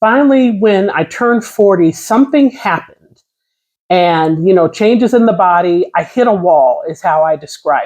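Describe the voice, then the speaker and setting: A woman with an ordinary speaking voice speaks at medium pitch and a moderate pace, her intonation lively and her loudness swinging widely. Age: 50s. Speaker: vlogger sharing personal experience. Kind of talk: casual personal talk to camera.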